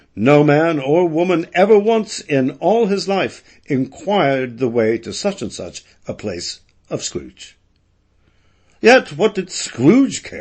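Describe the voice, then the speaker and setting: Speaking very slowly, a man with a high pitch makes very wide pitch swings. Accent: American. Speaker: audiobook narrator. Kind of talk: audiobook narration of classic fiction. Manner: spirited, expressive.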